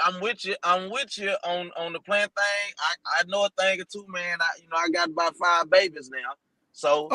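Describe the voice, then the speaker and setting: A man speaks high at a moderate pace, with ordinary pitch variation and big swings in loudness. The sound is dry and close, with no echo. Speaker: show co-host or regular guest. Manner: joking, playful.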